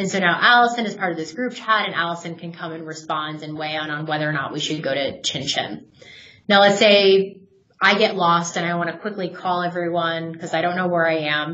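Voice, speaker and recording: In an American accent, a woman with a fairly low voice speaks at a fairly quick pace with ordinary pitch variation, with audible room echo around her. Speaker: software product manager. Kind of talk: webinar product demo. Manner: casual with fillers.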